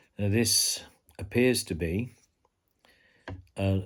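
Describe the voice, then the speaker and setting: Someone with a British accent is heard on a very clean recording with a silent background. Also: man. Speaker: knife reviewer. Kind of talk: product review. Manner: halting.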